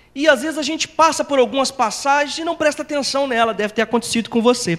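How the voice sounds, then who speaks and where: The speech moves at a fairly quick pace. The intonation is lively. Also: man. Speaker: preacher. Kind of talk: sermon.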